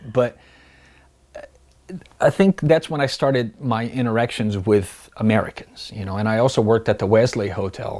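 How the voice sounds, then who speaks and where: A man with a Brazilian Portuguese accent speaks at a moderate pace and medium pitch, with ordinary pitch variation and long, frequent pauses. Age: 30s. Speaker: pool technician. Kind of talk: interview answer.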